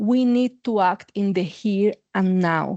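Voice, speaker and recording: Heard against a quiet background, a woman speaks in a Mexican accent, with a dry, close sound with no echo. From Mexico. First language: Spanish. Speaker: university administrator and psychologist. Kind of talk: academic conference talk. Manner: frequent filler words.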